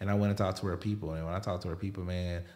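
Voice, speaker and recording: In a Southern US accent, a man talks with a very deep, low pitch and a monotone, flat delivery. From US South (Alabama). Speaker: podcast host and photographer. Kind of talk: casual interview.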